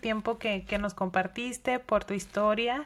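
Her pitch fairly high, a woman speaks in a monotone, flat intonation. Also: very clean recording, silent background. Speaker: podcast host. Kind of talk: interview.

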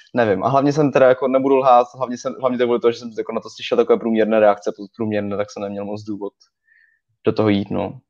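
A man talks at a very fast pace with medium pitch and fairly even intonation, his loudness swinging widely, in a dry, close recording with no echo and a quiet background. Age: young. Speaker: film website writer. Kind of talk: live video podcast chat.

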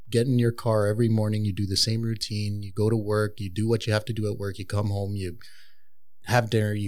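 A man with a Montreal accent talks at a fairly quick pace in a fairly low pitch, his intonation flat and monotone. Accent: Montreal English (Canadian). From Montreal, Canada. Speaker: tattoo artist. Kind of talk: casual chat.

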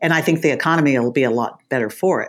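In an American accent, a woman speaks at a moderate pace. The recording is very clean with a silent background. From Texas. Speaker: congressional candidate. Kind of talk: interview.

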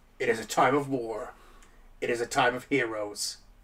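A put-on character voice at a moderate pace. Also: man, medium pitch for a man. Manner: dramatic.

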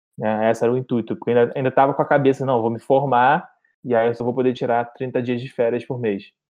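The man's voice sits at a medium pitch with monotone, flat intonation. He talks at a very fast pace. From Rio de Janeiro, Brazil. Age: 30s. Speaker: travel content creator. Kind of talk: podcast interview.

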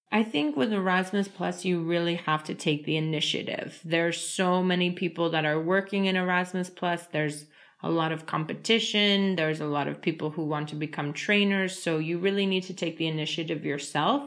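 Fairly even intonation and hardly any pauses, with a New York accent. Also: woman, fairly low pitch for a woman. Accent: New York American. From US, New York. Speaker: trainer. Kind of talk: casual interview.

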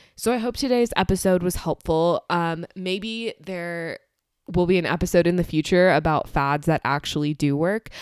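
In a plain, everyday voice, a woman talks at a moderate pace with fairly low pitch and ordinary pitch variation, the sound dry and close with no echo and the recording very clean against a silent background. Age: young. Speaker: podcast host. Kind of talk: solo educational talk.

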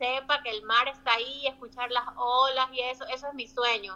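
A woman's high-pitched voice at a moderate pace. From Ecuador, Guayaquil (coastal). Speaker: migrant interviewee. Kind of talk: interview.

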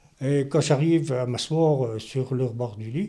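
A man's somewhat breathy voice with a dark, mellow tone and fairly high pitch, lively intonation, and a very slow pace. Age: 70s. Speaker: stroke survivor, retiree. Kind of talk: testimony.

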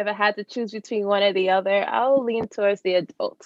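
A normal speaking voice with an American accent moves at a moderate pace. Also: woman. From New York. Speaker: podcast host, occupational therapist. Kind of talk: casual interview chat. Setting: video call.

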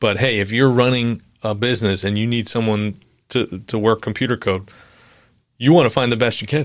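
On a very clean recording with a silent background, a normal speaking voice with an American accent moves at a fairly quick pace with fairly even intonation. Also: man, medium pitch for a man. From New York, Long Island. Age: 40s. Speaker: pastor. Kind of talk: casual chat.

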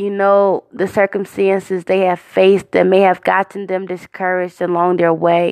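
Over a quiet background with a dry, close sound and no echo, a woman speaks at a moderate pace and medium pitch in a warm tone, her intonation monotone and flat. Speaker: podcast host and prayer leader. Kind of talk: fervent prayer. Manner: earnest, heartfelt, devout; warm, encouraging.

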